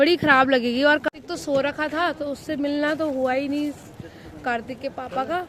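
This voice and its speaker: A woman's high voice at a moderate pace with fairly even intonation, over noticeable background noise. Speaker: family vlogger. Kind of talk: casual vlog narration.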